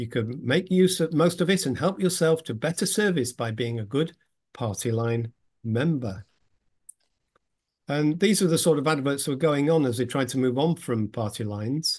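The background is quiet. A man talks at a moderate pace, his intonation lively. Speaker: presenter. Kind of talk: lecture. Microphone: video call.

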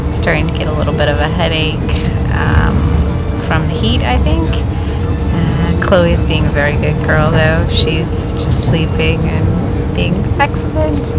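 Fairly slow speech with music in the background, the sound dry with no echo. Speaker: travel vlogger. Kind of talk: casual vlog chat. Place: train. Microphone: phone near.

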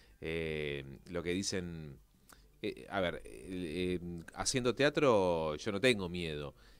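Words come out very slowly, carried by lively intonation. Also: man, very deep, low pitch for a man. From Argentina. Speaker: actor and presenter; actor, presenter. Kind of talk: interview. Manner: halting. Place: studio. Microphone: studio mic.

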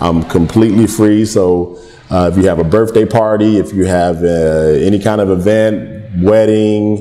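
A man in a normal speaking voice with an American accent, fairly low-pitched, with fairly even intonation, very even loudness, and a fairly slow pace. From Philadelphia. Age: 40s. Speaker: comedian and Marine veteran; comedian guest. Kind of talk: casual interview with comedic storytelling. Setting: restaurant venue.

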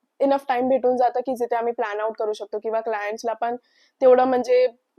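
A woman with a high pitch speaks in fairly even intonation. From Mumbai, India. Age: 20s. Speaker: student baker entrepreneur. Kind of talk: interview testimony.

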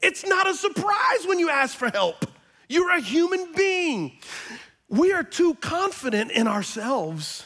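An extremely high-pitched man speaks in a raised, projected voice with very wide pitch swings and an animated tone, his loudness very even. His pace is fairly slow, and the background is quiet. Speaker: pastor. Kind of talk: sermon. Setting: church with congregation. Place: church. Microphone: headset.

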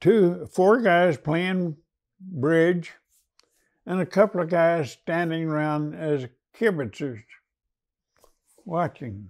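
A man with an American accent speaks at a very slow pace, leaving long, frequent pauses. His pitch is high, his intonation lively, and the background is quiet. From United States. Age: 90s. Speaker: WWII veteran, former prisoner of war. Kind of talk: oral history interview answer. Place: studio. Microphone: lapel.

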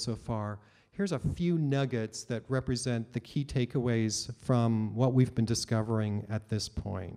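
Against a quiet background, a man with a Canadian accent speaks at a moderate pace in a dark, mellow tone with ordinary pitch variation. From Canada. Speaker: open licensing advocate, keynote speaker; keynote speaker. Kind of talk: keynote talk. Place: hall. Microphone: podium.

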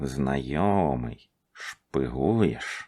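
In a put-on character voice, a man speaks with very deep, low pitch and lively intonation over a hissing sound.

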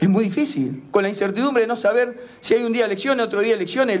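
The man's intonation is lively. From Argentina, Rosario; Argentina. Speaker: football club president. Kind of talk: interview. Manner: halting, repeats words. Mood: indignant, forceful criticism. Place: meeting room. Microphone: handheld.

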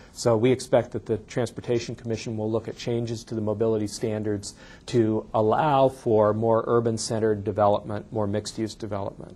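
Fairly quick, monotone speech from a man at a medium pitch, dark and mellow in tone, with hardly any pauses. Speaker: state land use planning official. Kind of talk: lecture. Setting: stage with audience. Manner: fast talker.

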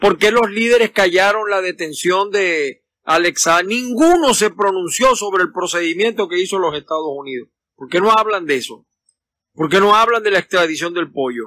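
A man with a Venezuelan accent uses a raised, projected voice, high in pitch and bright and sharp in tone, with lively intonation at a moderate pace and a dry sound with no echo. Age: 50s. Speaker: political commentator. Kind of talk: casual live stream. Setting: outdoors in a backyard. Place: garden. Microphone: phone near.

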